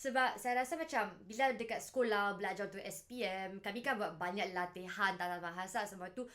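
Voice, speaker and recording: Over music in the background, someone with a northern Malaysian accent talks at a very fast pace with hardly any pauses and ordinary pitch variation. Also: woman, medium pitch for a woman. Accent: northern Malaysian accent in Malay. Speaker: language learning vlogger. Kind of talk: casual vlog monologue. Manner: casual, relaxed.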